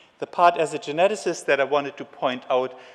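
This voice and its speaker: A man with a German accent speaks in a fairly high pitch with fairly even intonation. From Germany. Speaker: geneticist and conference speaker. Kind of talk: conference lecture. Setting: conference stage with audience.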